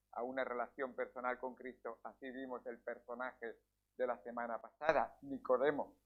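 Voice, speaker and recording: His intonation stays fairly even. The man keeps a moderate pace. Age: 60s. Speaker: pastor. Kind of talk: sermon. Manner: halting.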